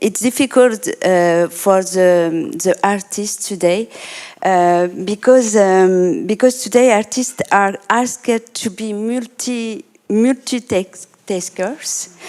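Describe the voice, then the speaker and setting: The delivery is very slow. Pitch varies in an ordinary way. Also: woman, medium pitch for a woman. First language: not English. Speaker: artist and art therapist. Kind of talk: panel discussion. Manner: halting.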